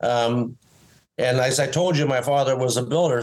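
Here a man with an unremarkable speaking voice talks at a fairly slow pace with ordinary pitch variation. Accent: Canadian. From Canadian Prairies, Winnipeg. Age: 60s. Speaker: former pro golfer and inventor. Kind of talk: interview. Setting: video call.

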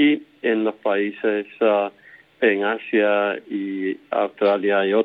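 This is a man's voice. His pitch is fairly low. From Puerto Rico, Camuy. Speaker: epidemiologist, professor. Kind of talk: interview. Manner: halting.

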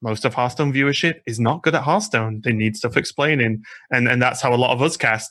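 Over a quiet background, a man with a British accent speaks at a fairly quick pace and medium pitch, his tone bright and sharp, his pitch varying in an ordinary way. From UK. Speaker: Hearthstone caster. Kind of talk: casual chat.

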